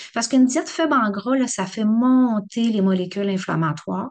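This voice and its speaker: At a moderate speed, a woman speaks, her pitch varying in an ordinary way. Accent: Quebec. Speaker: rheumatologist giving a talk. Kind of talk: public lecture. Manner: animated, conversational.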